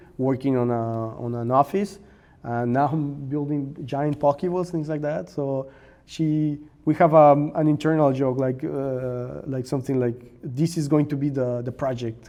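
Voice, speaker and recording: A man with a Spanish accent and a dark, mellow tone, fairly high in pitch, at a fairly slow pace with fairly even intonation. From Mexico. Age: 30s. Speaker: maker and content creator. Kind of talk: interview conversation. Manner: halting, with repetitions and fillers.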